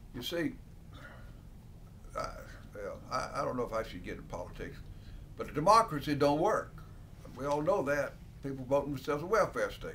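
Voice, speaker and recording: With an Alabama accent, a man talks at a moderate pace. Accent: Southern US (Alabama). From US South, Alabama (Dothan). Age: 70s. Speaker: country lawyer. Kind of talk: interview answers, casual. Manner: halting, with repetitions and fillers.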